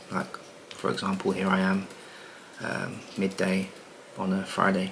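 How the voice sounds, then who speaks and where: Quiet and relaxed, a man with a very deep, low voice talks fairly slowly in a monotone, flat delivery, with noticeable background noise and audible room echo. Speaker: property business coach and content creator. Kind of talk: casual vlog monologue. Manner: talking quietly; relaxed, many filler words.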